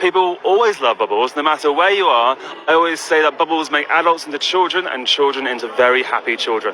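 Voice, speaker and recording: A man with a London accent at a very fast pace, fairly high-pitched, with ordinary pitch variation and noticeable background noise. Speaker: bubble entertainer. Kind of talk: live radio interview. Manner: halting with repetitions.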